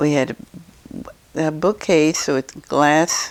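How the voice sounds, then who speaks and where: This woman has a very deep, low voice and speaks with a Midwestern American accent. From Eureka, Illinois, USA. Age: 80s+. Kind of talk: interview answer.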